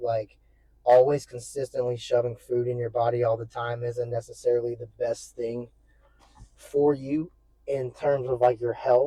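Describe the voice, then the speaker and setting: Somewhat breathy, a man speaks in a dark, mellow tone with monotone, flat intonation. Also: medium pitch for a man, moderate pace. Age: 20s. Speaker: fitness vlogger. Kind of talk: casual vlog monologue. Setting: in a car. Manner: casual, rambling.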